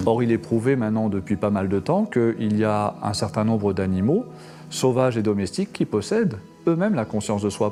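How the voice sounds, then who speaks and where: A man talks at a moderate pace in a fairly low pitch with ordinary variation. Music plays behind him. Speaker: spiritual order leader. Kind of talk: interview answer.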